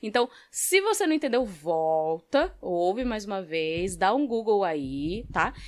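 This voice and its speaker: A woman is speaking. Her pitch swings very widely. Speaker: podcast host. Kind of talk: solo podcast talk. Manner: casual.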